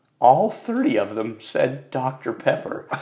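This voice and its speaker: With an American accent, a man talks at a very slow pace in a medium pitch. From Texas. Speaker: podcast guest, car enthusiast. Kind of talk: casual interview. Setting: home studio.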